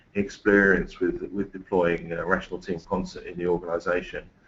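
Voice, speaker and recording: This is a man speaking. He has an English accent. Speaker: engineering manager. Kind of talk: webinar presentation. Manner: halting.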